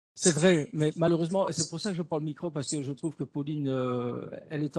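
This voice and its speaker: Very fast and fairly even in intonation, a man with a fairly high pitch and a dark, mellow tone is heard in a dry, close sound with no echo. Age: 60s. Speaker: teacher educator. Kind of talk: webinar discussion.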